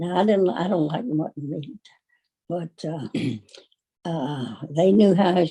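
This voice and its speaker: A woman's fairly low, somewhat breathy voice with a dark, mellow tone, lively intonation, a very slow pace and long, frequent pauses. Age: 80s+. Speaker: retired farm woman. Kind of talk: interview answer.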